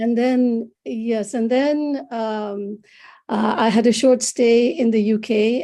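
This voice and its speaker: A woman speaks very slowly in a Bengali accent, her fairly high voice carrying a dark, mellow tone. Her intonation stays fairly even. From India. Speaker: psychologist and author. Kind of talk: interview. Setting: video call. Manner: halting. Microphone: laptop.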